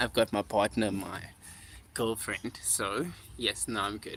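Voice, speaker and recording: Delivery is fairly slow. The tone is bright and sharp, with ordinary pitch variation. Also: man. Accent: South African. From South Africa. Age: 20s. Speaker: musician. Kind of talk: livestream chat. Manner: casual, filler-heavy.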